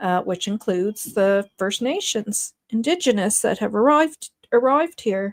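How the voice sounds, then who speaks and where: In a strong East Coast Canadian accent, a woman speaks with lively intonation, the sound dry and close with no echo. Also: fairly high pitch for a woman, moderate pace. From Nova Scotia, Canada. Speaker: YouTube true-crime commentator. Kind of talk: livestream commentary reading chat. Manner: hesitant, many fillers.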